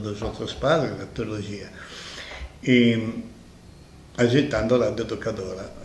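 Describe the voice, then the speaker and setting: The speaker is a man talking at a fairly slow pace. There is noticeable background noise and audible room echo. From Italy, Milan. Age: 70s. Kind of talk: interview.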